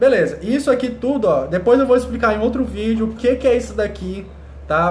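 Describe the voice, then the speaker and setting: A man talks at a fairly quick pace. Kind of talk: tutorial. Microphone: phone near.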